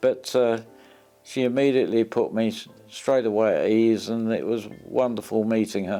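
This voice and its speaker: A man's medium-pitched voice, monotone and flat, at a fairly slow pace over music in the background. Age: 80s+. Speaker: retired ambulance driver. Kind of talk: interview answer.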